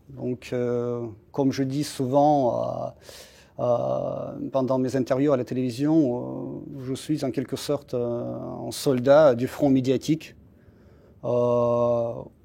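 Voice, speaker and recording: A man in a Russian accent speaks very slowly, with long, frequent pauses. His medium-pitched voice has a dark, mellow tone and monotone, flat intonation. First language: Russian (speaking French). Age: 40s. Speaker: embassy spokesperson. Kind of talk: interview. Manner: halting, many hesitations.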